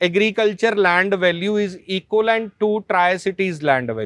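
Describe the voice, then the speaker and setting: A man speaks with a Punjabi accent at a high pitch. His intonation stays fairly even. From Punjab, India (Malot). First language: Punjabi (speaking Hindi). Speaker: journalist and media founder. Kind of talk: podcast interview. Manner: code-switching Hindi and English.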